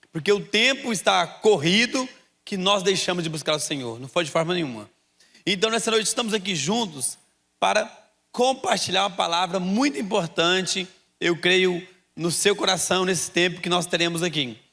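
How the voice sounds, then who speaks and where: A man with a goiano accent talks in a raised, projected voice at a high pitch, with a bright, sharp tone. His intonation is lively and his pace moderate. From Brazil, Goiás. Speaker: pastor. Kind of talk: sermon.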